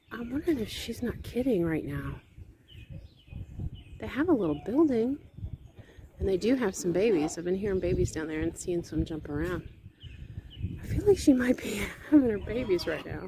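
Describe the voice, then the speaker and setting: Whispering at a moderate pace, a woman leaves long, frequent pauses, and her loudness swings a lot. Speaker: homesteader vlogger. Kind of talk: casual vlog narration. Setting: outdoors on farm.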